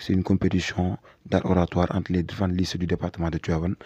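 A man's very deep, low voice with a dark, mellow tone, flat monotone delivery and very fast pace, dry with no echo against a quiet background. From Senegal. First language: Wolof (speaking French). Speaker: public relations officer of a youth civic movement. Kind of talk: interview, mixing Wolof and French. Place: home room. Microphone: handheld.

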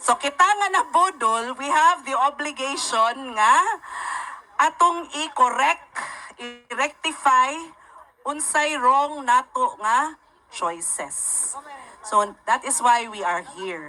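At a very slow pace, a woman uses a raised, projected voice pitched high, with lively intonation. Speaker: lawyer and rally speaker. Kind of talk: rally speech, fiery political address to a crowd, Cebuano mixed with English. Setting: stage with live audience at a rally. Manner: animated, rhetorical, sarcastic, asks crowd questions, emphatic and passionate.

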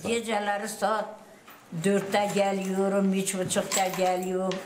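There is noticeable background noise. A woman speaks at a very slow pace. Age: 70s. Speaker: livestock farmer. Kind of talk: interview answer. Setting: outdoors.

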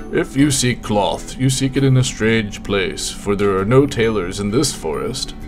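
Over clear background music, a man does a raspy put-on character voice at medium pitch and a moderate pace.

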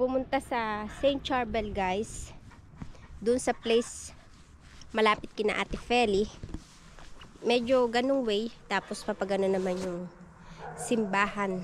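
At a fairly slow pace with long, frequent pauses, a woman speaks with fairly even intonation in a dry sound with no echo and light background noise. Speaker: vlogger. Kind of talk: casual vlog chat. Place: garden. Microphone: phone near.

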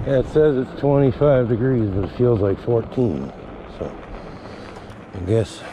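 Fairly slow, a man speaks at medium pitch with ordinary pitch variation and long, frequent pauses. Background noise is noticeable. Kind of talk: casual vlog narration while riding. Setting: outdoors.

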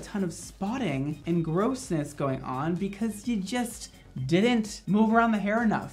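Moderate pace and high pitch from a man, with faint music in the background. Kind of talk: tutorial. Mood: playful, joking. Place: studio.

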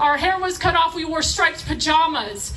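A woman speaks in a raised, projected voice with a passionate tone. Light background noise runs underneath. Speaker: rally speaker. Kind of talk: rally speech, fiery political appeal to a live crowd. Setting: outdoor rally stage with audience. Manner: passionate, emphatic, punchy repeated phrases, crowd-rousing; urgent, preaching tone with audience interjections. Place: stage.

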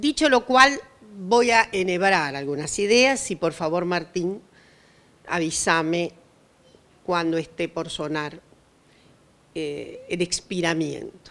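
Her pitch fairly low, a woman speaks at a very slow pace with long, frequent pauses. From Argentina. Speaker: historian and professor; professor. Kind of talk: panel discussion talk. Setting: outdoors at a public event. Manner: formal. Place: garden. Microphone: handheld.

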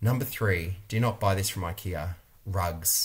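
Somewhat breathy, fairly low male voice in an Australian accent. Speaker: interior designer and video creator. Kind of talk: vlog monologue review. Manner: animated. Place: home room. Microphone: webcam.

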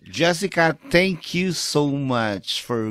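A man's voice makes very wide pitch swings, recorded dry with no echo against a quiet background. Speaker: talk show host. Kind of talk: casual interview. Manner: animated. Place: home room. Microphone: studio mic.

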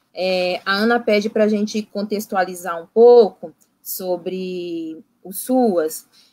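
Speaking very slowly with big swings in loudness, a woman uses a dark, mellow tone, fairly even intonation and a medium pitch. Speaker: psychologist in social assistance services. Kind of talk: online panel discussion.

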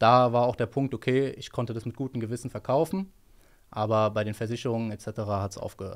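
This is an unremarkable speaking voice at a fairly quick pace, with fairly even intonation. The recording is very clean, with a silent background. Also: man. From Hesse, Germany (Rödermark). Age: 20s. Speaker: trader, former car mechanic. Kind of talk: interview answers. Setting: office.

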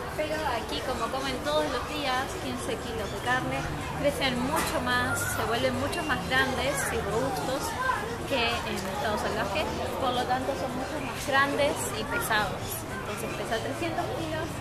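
Crowd noise fills the background. A woman speaks at a fairly slow pace. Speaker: travel vlogger. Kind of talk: casual vlog chat. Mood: cheerful, laughing. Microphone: camera far.

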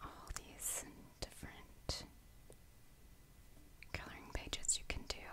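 A woman whispers with long, frequent pauses, keeping a fairly slow pace. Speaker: ASMR creator. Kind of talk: ASMR whisper coloring tutorial, casual talk to camera. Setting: quiet indoor recording for relaxation. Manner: whispered, soft-spoken.

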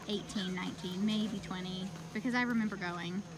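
Over noticeable background noise, a woman's voice comes through dry with no echo. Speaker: parent vlogger. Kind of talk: casual vlog chat. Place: open country. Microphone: phone near.

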